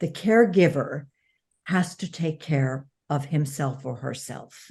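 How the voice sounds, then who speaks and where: A woman's very deep, low voice, somewhat breathy and dark and mellow in tone, at a fairly slow pace with ordinary pitch variation over a quiet background. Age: 70s. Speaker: author and former publicist, caregiver. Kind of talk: interview conversation.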